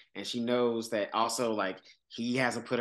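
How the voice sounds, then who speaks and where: At a moderate pace and medium pitch, a man talks in a normal speaking voice against a quiet background. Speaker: podcast host. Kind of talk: casual chat.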